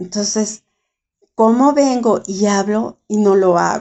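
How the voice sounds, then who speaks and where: Her pace very slow, a woman speaks. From Mexico. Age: 70s. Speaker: writer and caregiver. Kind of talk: interview testimony.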